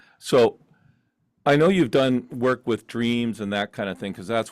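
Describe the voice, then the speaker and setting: The recording is very clean, with a silent background and a dry, close sound with no echo. Pitch variation is ordinary. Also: man. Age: 60s. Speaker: talk show host. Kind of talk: interview. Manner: halting.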